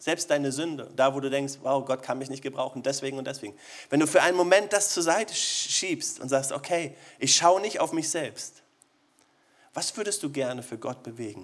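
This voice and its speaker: With an animated tone, a man talks at a moderate pace, his pitch fairly high and its variation ordinary. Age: 40s. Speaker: pastor. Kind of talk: sermon.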